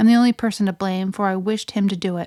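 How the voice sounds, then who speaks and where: A put-on character voice from a woman, medium in pitch, monotone and flat, at a very fast pace, dry and close with no echo in a very clean recording with a silent background. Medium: read story. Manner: defiant, reckless.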